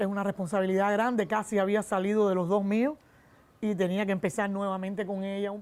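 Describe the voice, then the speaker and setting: A woman talks at a fairly quick pace with a medium pitch and a dark, mellow tone. Her intonation stays fairly even. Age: 60s. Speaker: secondary school teacher. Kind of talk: interview testimony.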